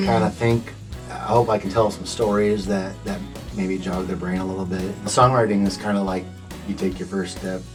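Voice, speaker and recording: With music in the background, a man with an American accent and a very deep, low pitch talks at a moderate pace. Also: ordinary pitch variation. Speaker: songwriter. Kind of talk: radio interview answer. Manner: laid-back.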